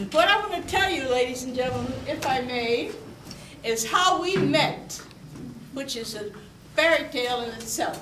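There is light background noise and audible room echo as a woman speaks at a high pitch. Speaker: guest. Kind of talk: storytelling to an audience. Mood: warm, amused, laughing. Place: hall. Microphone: camera far.

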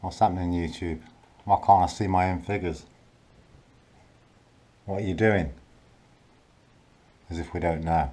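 With a dark, mellow tone, a man speaks in a very deep, low pitch and fairly even intonation. His pace is moderate, with long, frequent pauses. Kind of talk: casual vlog chat, complaining. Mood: frustrated, annoyed. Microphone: phone near.

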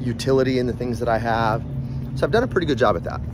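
A man's voice with ordinary pitch variation amid noticeable background noise. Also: dry sound with no echo. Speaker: vlogger. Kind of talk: casual vlog chat. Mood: reflective, relaxed. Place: street. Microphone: phone near.

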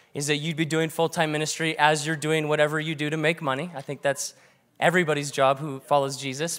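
A man's voice over a quiet background. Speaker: pastor. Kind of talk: sermon. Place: church. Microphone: handheld.

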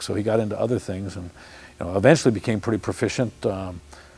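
Talking very fast, a man with a fairly low, somewhat breathy voice shows ordinary pitch variation. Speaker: grandson of the racer, interviewee. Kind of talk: documentary interview answer. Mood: warm reminiscing.

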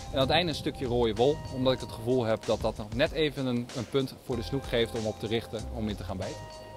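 Clear music plays in the background as a man speaks at a very fast pace. The sound of his voice is dry, with no echo. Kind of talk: tutorial. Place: waterside.

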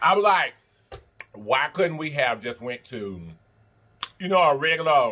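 The man's pitch makes very wide swings. He keeps a moderate pace. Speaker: mukbang host. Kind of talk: casual vlog chat while eating.

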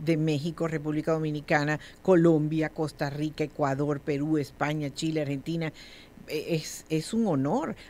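A woman with a normal speaking voice and a fairly low pitch talks at a moderate pace. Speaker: radio host. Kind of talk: radio interview, host questions.

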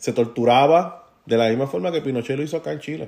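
A man uses an ordinary speaking voice, talking at a moderate pace with ordinary pitch variation. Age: 40s. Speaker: podcast host, political commentator. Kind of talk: solo commentary monologue. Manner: casual, conversational with fillers.

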